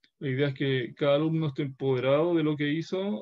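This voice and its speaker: In a Chilean accent, a man speaks at a fairly slow pace, his fairly high pitch showing ordinary variation. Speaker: university professor. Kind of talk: lecture. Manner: halting.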